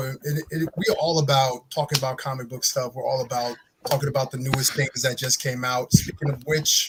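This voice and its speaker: Noticeable background noise sits under this recording. A man speaks at a moderate pace in a fairly high pitch. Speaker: podcast host. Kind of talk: casual chat. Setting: live stream.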